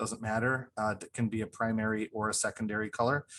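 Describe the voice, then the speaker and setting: A man's monotone, flat voice at a fairly low pitch, over a quiet background. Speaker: art teacher. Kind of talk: tutorial. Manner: fast.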